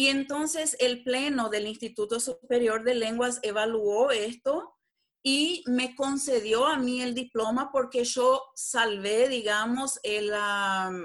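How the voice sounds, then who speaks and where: On a very clean recording with a silent background, a woman speaks at a very slow pace in a fairly high pitch with lively intonation. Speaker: translator and lawyer. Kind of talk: interview.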